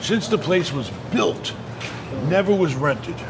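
A man speaks over noticeable background noise. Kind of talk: casual tour talk and interview answer. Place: hall.

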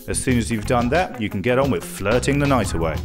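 With music in the background, a man talks at a very fast pace and medium pitch. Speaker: voice-over artist. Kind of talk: TV promo read.

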